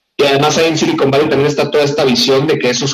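A man is speaking. His pitch sits fairly high. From northwest Mexico (Hermosillo, Sonora). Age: 30s. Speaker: tech education entrepreneur. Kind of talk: radio interview.

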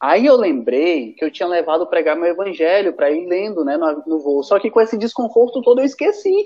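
This man's voice sits high and moves through very wide pitch swings. He talks at a fairly quick pace. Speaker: returned missionary. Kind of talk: casual chat.

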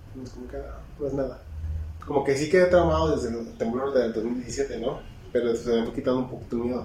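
A man with a Mexican accent, medium in pitch, fairly quick and lively in intonation, with noticeable background noise and audible room echo. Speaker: podcast co-host. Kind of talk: casual chat.

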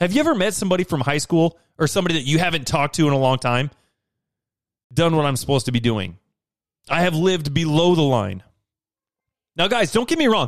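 With an American accent, a man talks at a very fast pace in a fairly high pitch, his tone energetic and intonation lively, loudness very even, and long, frequent pauses throughout. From Idaho, US. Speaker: podcast host, self-improvement speaker. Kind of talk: motivational monologue.

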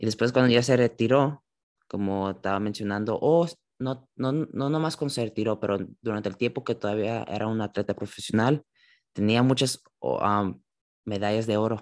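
Medium pitch and ordinary pitch variation from a man speaking at a moderate pace. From California, San José. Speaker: church youth Bible discussion host. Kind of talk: Bible study conversation. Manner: halting, with many fillers.

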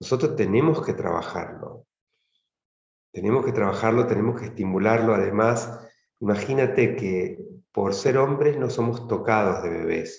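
Amid audible room echo, a somewhat breathy man speaks fairly slowly at a medium pitch with ordinary pitch variation. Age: 50s. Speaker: tantra practitioner leading men's circles. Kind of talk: interview conversation.

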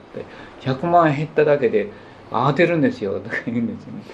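Male speech with ordinary pitch variation, noticeable background noise and audible echo from the room. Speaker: potter and spiritual teacher. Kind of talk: lecture. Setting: small gathering in a private home.

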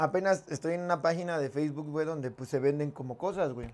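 A man with a Mexican accent at a fairly quick pace. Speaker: podcast co-host. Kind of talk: casual chat. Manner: animated.

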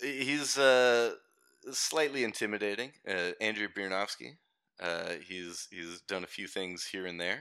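A man speaks at a fairly slow pace with a fairly low pitch. His tone is bright and sharp, with lively intonation. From Canada. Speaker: podcast guest. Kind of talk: casual chat. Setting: remote call from Australia.

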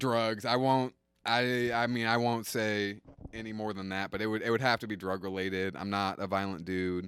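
A man with a fairly low pitch speaks at a moderate pace with fairly even intonation, recorded very cleanly over a silent background. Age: 20s. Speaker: stand-up comedian. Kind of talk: casual chat.

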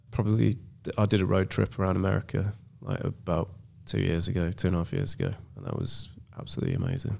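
A man with an English accent, a fairly low pitch and a somewhat breathy voice, speaking very fast yet with long, frequent pauses. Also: ordinary pitch variation. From England. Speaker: film director. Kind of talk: casual chat. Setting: studio.

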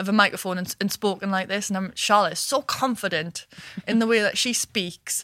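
Speaking in a northeast English accent, a woman keeps a medium pitch and fairly even intonation. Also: fairly quick pace, dry, close sound with no echo. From northeast England (Washington). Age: 20s. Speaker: business founder and managing director. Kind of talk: interview. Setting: studio.

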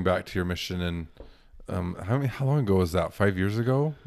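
A normal speaking voice from a man, fairly quick in pace, his pitch varying in an ordinary way. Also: very clean recording, silent background. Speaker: podcast co-host. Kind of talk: casual chat.

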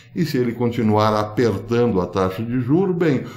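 Audible room echo colors the recording. A man talks with lively intonation. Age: old. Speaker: political commentary youtuber. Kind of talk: video monologue commentary.

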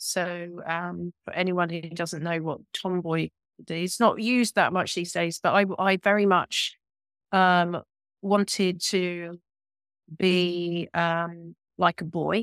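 On a very clean recording with a silent background and a dry, close sound with no echo, a woman speaks at a very slow pace in a flat monotone. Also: fairly low pitch for a woman. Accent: British. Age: 50s. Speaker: yoga teacher and embodiment coach. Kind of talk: interview conversation.

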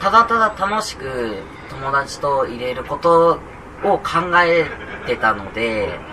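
The speech moves at a very slow pace with long, frequent pauses, very wide pitch swings and big swings in loudness over noticeable background noise. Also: man, fairly high pitch for a man. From Kagoshima, Japan. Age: 20s. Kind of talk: live interview. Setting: public recording in a cafe with audience. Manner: halting.

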